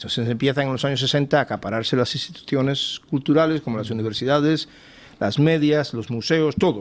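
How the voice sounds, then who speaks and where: On a very clean recording with a silent background, a man talks at a fairly quick pace with fairly high pitch and ordinary pitch variation. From Cuba. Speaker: think tank fellow and author. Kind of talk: TV panel interview. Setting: TV studio panel. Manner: halting, many repetitions.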